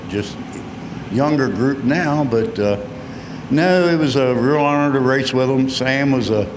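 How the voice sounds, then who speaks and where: A man with an American accent at a medium pitch, amid noticeable background noise and audible room echo. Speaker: retired race car driver. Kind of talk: PA interview at race track.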